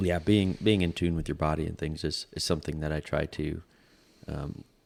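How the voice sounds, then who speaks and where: Very deep, low male voice, fairly quick in pace and fairly even in intonation. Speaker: podcast host. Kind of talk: casual chat. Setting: studio. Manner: monotone.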